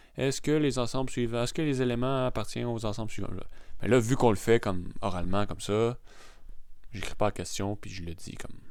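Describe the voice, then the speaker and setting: A man with a strong Quebec accent talks at a fairly quick pace, medium in pitch with ordinary pitch variation. Audible room echo is present. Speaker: math teacher. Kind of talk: lecture. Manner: casual, hesitant.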